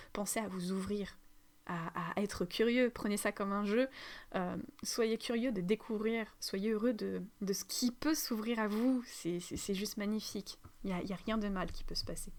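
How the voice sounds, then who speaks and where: A woman with a medium-pitched voice speaks in a fairly even intonation on a very clean recording with a silent background. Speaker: spiritual teacher, energy healer. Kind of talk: spiritual teaching monologue. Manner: halting, many fillers; fast.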